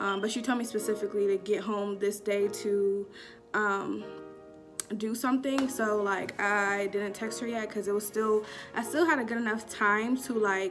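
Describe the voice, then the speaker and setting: Speaking at a moderate pace with fairly even intonation, the voice plays over clear background music. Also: woman. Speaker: vlogger. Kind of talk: casual storytime vlog chat. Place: home room. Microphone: phone near.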